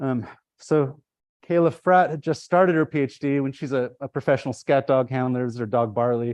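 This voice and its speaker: Medium pitch from a man at a fairly quick pace, ordinary pitch variation, dry, close sound with no echo and a quiet background. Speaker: ecology professor. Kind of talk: lecture. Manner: fast; animated.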